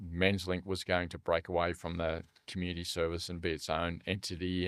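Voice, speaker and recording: This is a man with an Australian accent. He has a very deep, low voice. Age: 60s. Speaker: charity leader for young men's mental health. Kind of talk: podcast interview. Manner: casual, many fillers.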